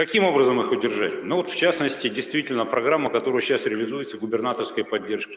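Noticeable background noise sits behind a man talking at a very fast pace with hardly any pauses. His loudness stays very even. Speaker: university rector. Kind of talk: conference presentation.

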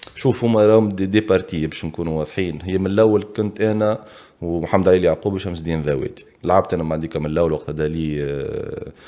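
A man's very deep, low voice, dark and mellow in tone, with ordinary pitch variation, a fairly quick pace, and a quiet background. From Tunisia, Bizerte; Tunisia. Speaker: retired footballer; podcast guest. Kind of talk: casual interview. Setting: studio. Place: studio. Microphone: studio mic.

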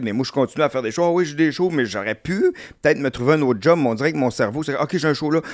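A man's lively intonation comes at a very fast pace over a quiet background. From Quebec. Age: 50s. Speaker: comedian. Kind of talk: casual chat. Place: studio. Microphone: studio mic.

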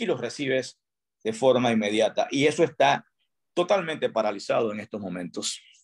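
The voice has vocal fry and very wide pitch swings, moving at a fairly quick pace over a quiet background. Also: man. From Panama, Pedasí (Los Santos); Panama. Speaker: tourism industry chamber president. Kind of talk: radio interview. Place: home room. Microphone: video call.

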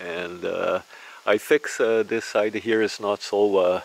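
Slowly and with fairly even intonation, a man talks with vocal fry. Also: fairly low pitch for a man.

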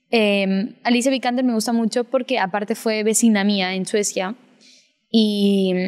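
Over music in the background, a woman speaks at a fairly slow pace in a monotone, flat intonation. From Peru, with childhood in Spain and Sweden. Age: young. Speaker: actress. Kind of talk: interview.

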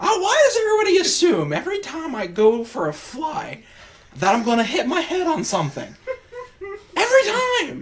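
At a moderate pace, a put-on character voice sounds raspy and extremely high in pitch. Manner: grumpy, indignant.

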